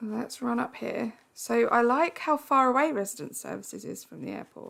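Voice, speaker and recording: An Essex accent at a moderate pace with big swings in loudness. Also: woman. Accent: Essex accent, drops T's. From Essex, England. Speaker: video game streamer. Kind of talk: live stream gameplay chat. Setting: live stream. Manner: chatty, conversational.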